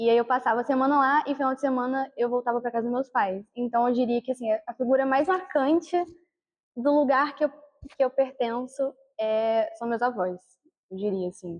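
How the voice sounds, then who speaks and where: In a high pitch, a woman speaks with ordinary pitch variation. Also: moderate pace. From Brazil, Natal (Rio Grande do Norte) until age 8. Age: 20s. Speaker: university student. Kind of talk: documentary interview.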